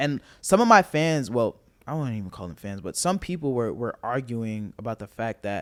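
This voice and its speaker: At a moderate pace with hardly any pauses, a man of medium pitch speaks in an animated tone with lively intonation and big swings in loudness. The sound is dry and close, with no echo. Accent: New York. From Staten Island, New York. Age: 20s. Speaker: rapper. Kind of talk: casual chat.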